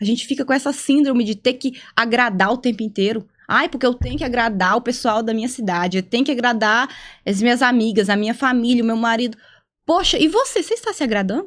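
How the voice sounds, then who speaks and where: Delivered at a very fast pace, the speech comes through on a very clean recording with a silent background. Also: woman, high pitch for a woman, ordinary pitch variation. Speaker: psychologist. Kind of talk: casual podcast conversation. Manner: halting, not fluid.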